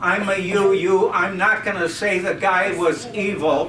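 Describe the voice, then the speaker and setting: A man uses a raised, projected voice, high in pitch, at a very slow pace. The room echo is audible, and there is noticeable background noise. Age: 80s+. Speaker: audience member at discussion club. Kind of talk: open-floor comment at a public meeting. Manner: halting, with many fillers.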